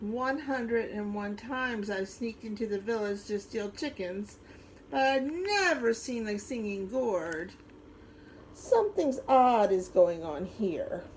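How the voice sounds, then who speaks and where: A woman performs a put-on character voice at a fairly high pitch and fairly slow pace. Background noise is clear. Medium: read story. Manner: sly.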